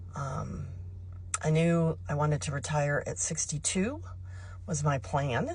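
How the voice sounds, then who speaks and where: Very wide pitch swings and vocal fry mark this very slow delivery, broken by long, frequent pauses. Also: woman, very deep, low pitch for a woman. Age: 60s. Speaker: retiree vlogger. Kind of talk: casual direct-to-camera talk. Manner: conversational with frequent fillers.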